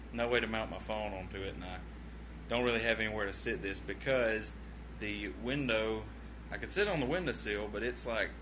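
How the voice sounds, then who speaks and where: A man with a Southern US accent at a fairly quick pace, audible room echo around him. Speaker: vlogger. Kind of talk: casual livestream chat. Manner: rambling, hesitant with many fillers.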